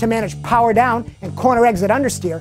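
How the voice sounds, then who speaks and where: A man talks while clear music is heard behind him. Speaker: show host. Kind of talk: presenter commentary. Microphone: lapel.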